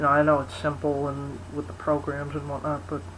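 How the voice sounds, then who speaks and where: The speech comes out as mumbling at a fairly quick pace. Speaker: video blogger. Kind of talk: casual vlog monologue. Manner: mumbling, rambling; halting, many fillers.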